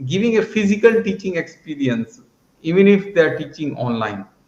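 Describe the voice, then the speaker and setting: A man with an Indian accent talks at a moderate pace. His pitch moves in very wide swings. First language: Hindi. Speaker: math education entrepreneur. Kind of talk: conference presentation.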